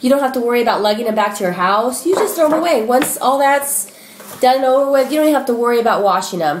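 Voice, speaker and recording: Noticeable background noise and audible room echo surround the speaker. A woman talks very fast in a high voice with lively intonation. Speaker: shopping haul vlogger. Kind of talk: casual product haul video. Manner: animated.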